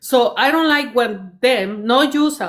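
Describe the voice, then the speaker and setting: A woman at a very slow pace with a non-native accent and ordinary pitch variation. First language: not English. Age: 50s. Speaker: commenter in a live stream discussion. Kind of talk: heated debate. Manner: halting, many fillers and restarts.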